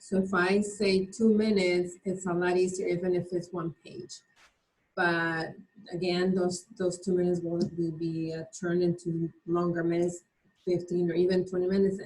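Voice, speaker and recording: With a non-native accent, a woman speaks at a moderate pace, somewhat breathy and in a monotone, flat intonation. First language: not English. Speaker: mastermind group participant. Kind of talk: group discussion.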